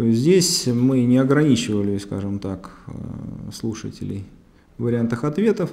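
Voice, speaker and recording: A man's dark, mellow tone at a fairly slow pace. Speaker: seminar lecturer. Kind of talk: lecture. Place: studio. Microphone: lapel.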